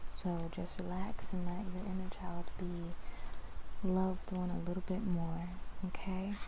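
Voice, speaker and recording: Over noticeable background noise, a soft-spoken woman talks at a medium pitch in a soothing tone with monotone, flat intonation. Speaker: ASMR creator. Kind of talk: ASMR personal attention roleplay. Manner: soft-spoken, soothing.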